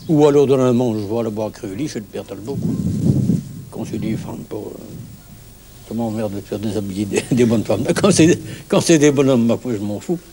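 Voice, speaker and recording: Over noticeable background noise, a man of medium pitch speaks with ordinary pitch variation and big swings in loudness. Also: moderate pace. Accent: Norman. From Normandy, France. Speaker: village bonesetter. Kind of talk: interview. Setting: outdoors at a bus shelter. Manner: halting, repeats words.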